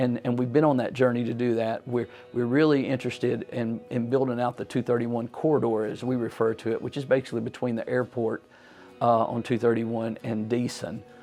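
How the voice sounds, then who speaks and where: Music plays behind a man with a Southern US accent who talks at a fairly quick pace. His medium-pitched voice stays monotone and flat. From US South, Tennessee. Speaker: politician. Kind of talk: interview answer. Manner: halting.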